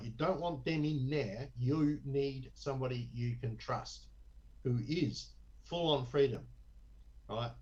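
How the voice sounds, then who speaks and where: With an Australian accent, the speaker shows vocal fry, and audible room echo surrounds the voice. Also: man. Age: 60s. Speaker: election candidate. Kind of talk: interview. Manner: animated.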